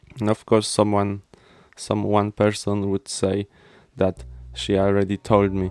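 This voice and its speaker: A man's fairly low voice, dry and close with no echo, with long, frequent pauses and music playing in the background. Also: ordinary pitch variation, fairly slow pace. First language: Polish. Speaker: podcast host. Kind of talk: casual solo podcast chat. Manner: halting, many fillers and repeats.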